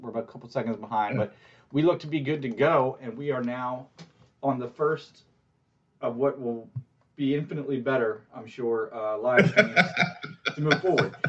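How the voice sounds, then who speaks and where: Ordinary pitch variation and big swings in loudness at a moderate pace. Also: man. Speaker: podcast co-host. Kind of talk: casual podcast chat. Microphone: video call.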